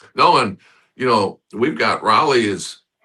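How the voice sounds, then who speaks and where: A man speaks with a bright, sharp tone and lively intonation. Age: 70s. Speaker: former college basketball player. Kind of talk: casual chat.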